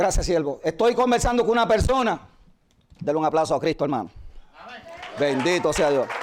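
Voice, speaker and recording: A man's high voice with very wide pitch swings, very even loudness, and long, frequent pauses. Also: fairly quick pace. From Puerto Rico. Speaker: pastor. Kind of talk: sermon.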